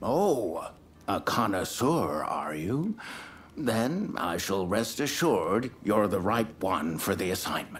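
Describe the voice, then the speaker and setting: A man doing a put-on character voice at medium pitch, fairly slow, with very wide pitch swings over clear background noise. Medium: video game. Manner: measured, self-assured.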